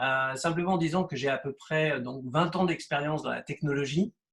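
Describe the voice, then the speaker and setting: The man talks at a fairly slow pace. His pitch is fairly high, with ordinary variation. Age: 60s. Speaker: real estate agent. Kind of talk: interview. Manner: halting, many hesitations.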